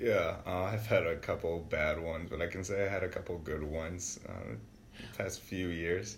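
A man with a very deep, low voice and an American accent, at a moderate pace with hardly any pauses, ordinary pitch variation, and audible room echo. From Wisconsin, Milwaukee south side. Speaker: university student. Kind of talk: casual interview.

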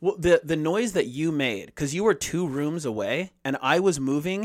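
An ordinary speaking voice from a fairly high-pitched man, fairly slow and with lively intonation, in a very clean recording with a silent background. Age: 30s. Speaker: podcast co-host. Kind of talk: casual chat.

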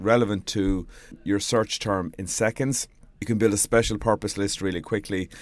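Talking at a fairly quick pace, a man with a Galway accent has a fairly low pitch and ordinary pitch variation. The recording is very clean, with a silent background. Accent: Galway Irish. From Ireland, Galway. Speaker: PR trainer and blogger. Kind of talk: solo audio blog tutorial.

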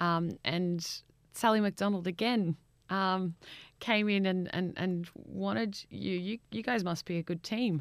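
A woman with an ordinary speaking voice talks at a fairly slow pace and fairly low pitch, with ordinary pitch variation, in a very clean recording with a silent background. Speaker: interviewer, podcast host. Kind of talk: interview.

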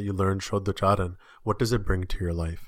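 A man with a fairly low pitch speaks in a plain, everyday voice on a very clean recording with a silent background. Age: 30s. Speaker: podcast host. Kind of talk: interview.

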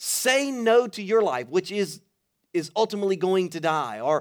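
A man with an American accent sounds animated, with lively intonation. The recording is very clean, with a silent background. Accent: Louisiana Cajun-tinged Southern US. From Louisiana, Baton Rouge. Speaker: pastor. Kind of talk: sermon. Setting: church stage with audience.

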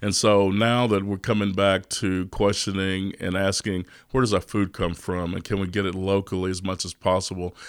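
A man speaks at a moderate pace with a Texas accent, his pitch very deep and low. His intonation stays monotone and flat over a very clean recording with a silent background. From Texas, East Austin. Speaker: restaurant owner and chef. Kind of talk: interview.

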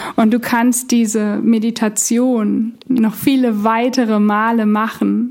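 A woman speaks at a fairly high pitch and a very slow pace, her tone soothing and calm, with monotone, flat intonation and very even loudness. She leaves hardly any pauses, and background noise is noticeable. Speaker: meditation guide. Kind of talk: guided meditation. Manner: slow, soothing, calm; gentle, hypnotic, repetitive.

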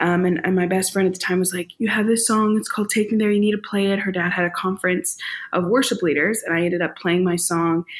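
A woman speaks very fast in an American accent. The recording is very clean, with a silent background. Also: medium pitch for a woman. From US Midwest, St. Louis. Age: 20s. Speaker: singer-songwriter and worship leader. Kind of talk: casual interview chat. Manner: animated.

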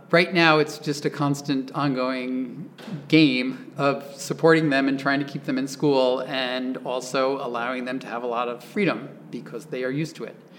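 A man with an American accent speaks at a medium pitch with fairly even intonation over noticeable background noise. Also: moderate pace. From Oklahoma. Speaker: architect and author. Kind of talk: interview.

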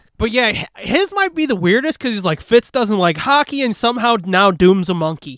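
A man talks fairly quickly at a high pitch with lively intonation. The sound is dry and close, without echo. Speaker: podcast co-host. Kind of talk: casual chat. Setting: studio.

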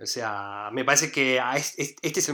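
A man speaks with a Rioplatense accent and a fairly even intonation. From Argentina, Buenos Aires. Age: 30s. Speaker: painter and street artist. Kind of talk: casual interview. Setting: remote call.

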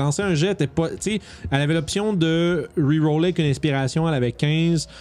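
A man with a Quebec accent speaks in an animated tone. His pitch is fairly high, with ordinary variation. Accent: Québécois French. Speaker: tabletop gaming podcast host. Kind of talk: casual chat.

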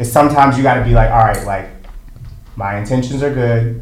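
A man with an American accent talks at a fairly quick pace. Audible room echo and noticeable background noise are present. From US South, Conyers, Georgia. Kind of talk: casual chat.

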